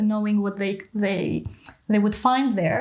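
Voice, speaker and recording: Monotone, flat intonation comes in an Albanian accent over noticeable background noise. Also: woman. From Greece, born in southern Albania. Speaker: educational exchange coordinator. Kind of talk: interview.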